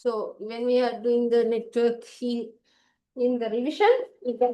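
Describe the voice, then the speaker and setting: A woman's fairly high pitch carries a dark, mellow tone in a monotone, flat delivery. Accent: Sri Lankan. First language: Sinhala. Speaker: ICT tutor. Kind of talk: online exam paper class.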